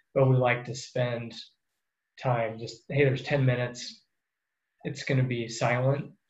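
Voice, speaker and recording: Amid audible room echo, a man with an American accent speaks fairly slowly in a medium pitch, somewhat breathy and monotone, with long, frequent pauses. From US Midwest, central Iowa. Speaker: water resources engineer. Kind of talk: interview.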